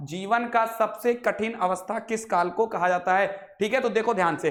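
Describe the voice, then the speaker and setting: Keeping a moderate pace, a man with a high voice talks in fairly even intonation. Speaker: online exam-prep teacher. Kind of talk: lecture.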